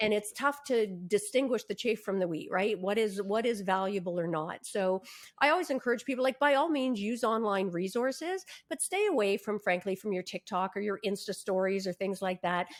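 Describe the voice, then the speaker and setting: With an unremarkable speaking voice, a woman talks at a fairly quick pace and varies her pitch in an ordinary way. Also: medium pitch for a woman. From Canada. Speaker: lawyer and negotiation coach. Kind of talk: podcast interview.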